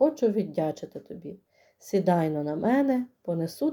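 A speaker reads aloud in a natural voice, and the background is quiet.

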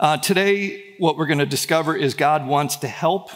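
A man talks with ordinary pitch variation at a moderate pace, the background quiet. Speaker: pastor. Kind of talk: sermon. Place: church. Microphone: headset.

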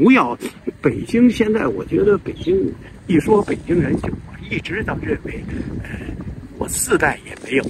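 With a Beijing accent, the speaker talks in big swings of loudness and long, frequent pauses, in a dry sound with no echo over loud background noise. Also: man, high pitch for a man, fairly slow pace. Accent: Beijing Mandarin. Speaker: video channel host. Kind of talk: casual monologue about Beijing history. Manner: rambling, halting, repetitive. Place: garden. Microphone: phone near.

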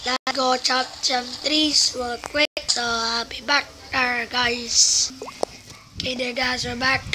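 A woman with a high pitch speaks in a flat monotone at a very slow pace amid noticeable background noise. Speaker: gaming youtuber. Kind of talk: let's play commentary.

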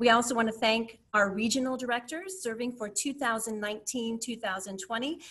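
Pitch variation stays ordinary. The speaker is a woman. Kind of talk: meeting presentation. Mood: grateful, warm. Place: home room. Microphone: webcam.

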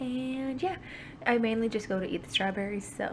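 A woman's somewhat breathy voice comes through over light background noise. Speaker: vlogger. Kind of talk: casual vlog chat. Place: home room. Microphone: phone near.

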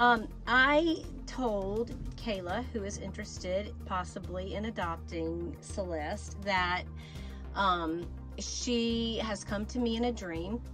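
A woman talks at a very slow pace. Clear music plays in the background. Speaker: doll channel host. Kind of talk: casual vlog chat. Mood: warm, playful. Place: home room. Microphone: phone near.

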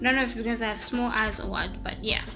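A woman talks over clear music in the background. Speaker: beauty vlogger. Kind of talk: casual vlog chat. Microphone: phone near.

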